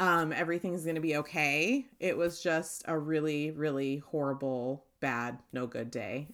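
A woman with a raspy, low voice speaks using lively intonation.

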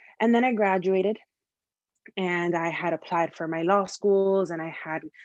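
A woman with an American accent speaks in a plain, everyday voice at medium pitch. Her pace is moderate and her intonation fairly even. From Miami, Florida. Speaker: advertising copywriter. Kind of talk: interview.

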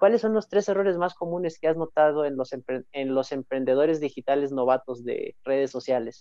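An unremarkable speaking voice, male, at a moderate pace with hardly any pauses and ordinary pitch variation. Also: fairly high pitch for a man. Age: young. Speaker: podcast host. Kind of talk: casual interview. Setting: live stream.

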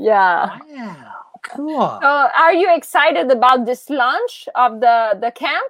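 In a Quebec accent, a woman speaks very slowly at a high pitch, with lively intonation. Her loudness swings widely. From Quebec, Montreal. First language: French. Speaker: podcast host. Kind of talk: interview. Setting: video call.

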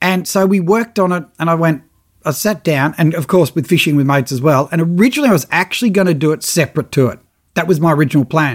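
Lively intonation and a very fast pace come through on a very clean recording with a silent background. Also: man. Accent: Australian. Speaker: fishing TV presenter and podcast host. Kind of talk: casual solo podcast monologue. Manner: animated.

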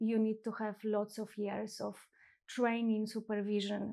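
In a Polish accent, a woman speaks with monotone, flat intonation, a medium pitch and a dark, mellow tone on a very clean recording with a silent background. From Poland. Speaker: psychotherapist. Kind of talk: casual interview chat. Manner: halting with fillers.

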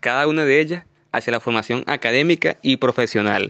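A man with a Venezuelan accent, in a dry, close sound with no echo. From Venezuela, Valencia (Carabobo). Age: 20s. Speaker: university student and youth leadership trainer. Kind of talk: interview answers, prepared and formal. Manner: formal.

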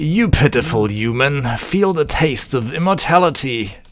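Here a man uses a put-on character voice pitched fairly high. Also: moderate pace. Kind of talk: theatrical. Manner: menacing, gloating.

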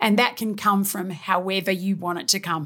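A woman speaks with an Australian accent. Her pitch is medium and her pace moderate. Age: 50s. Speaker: fitness trainer. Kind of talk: casual interview.

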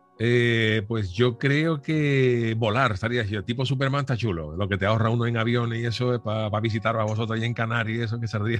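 A man speaks in an ordinary speaking voice at a fairly quick pace, his medium pitch showing ordinary variation and hardly any pauses. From Cádiz, Andalusia, Spain. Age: 50s. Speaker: radio presenter. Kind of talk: casual interview.

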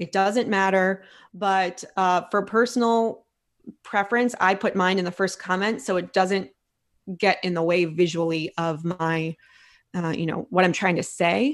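A woman with an American accent speaks at a fairly slow pace in a plain, everyday voice, her medium pitch showing ordinary variation against a quiet background. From Philadelphia, US. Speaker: food blogger and restaurant coach. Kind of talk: casual interview.

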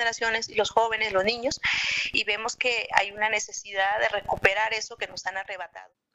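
Monotone, flat intonation at a fairly quick pace. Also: woman. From Chiapas, Mexico. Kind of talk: interview.

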